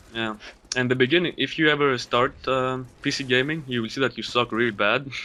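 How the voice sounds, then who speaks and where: A man with a Greek accent, fairly quick pace and fairly even intonation. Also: medium pitch for a man. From Greece. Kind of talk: gaming commentary.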